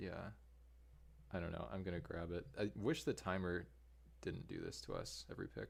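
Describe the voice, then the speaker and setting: Soft-spoken, a man with a very deep, low pitch and vocal fry talks at a moderate pace, his pitch swinging very widely between long, frequent pauses. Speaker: Magic: The Gathering streamer. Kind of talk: casual chat while drafting. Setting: live stream.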